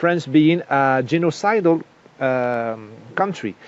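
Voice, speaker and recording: A man speaks in a fairly high pitch with ordinary pitch variation while noticeable background noise fills the clip. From Morocco. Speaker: political author. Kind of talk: interview. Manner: halting.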